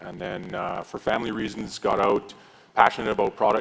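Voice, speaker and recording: This man speaks with a Canadian accent at a fairly low pitch. His pace is fairly quick and his intonation monotone and flat. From Manitoba, Canada. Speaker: company founder. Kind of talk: panel discussion.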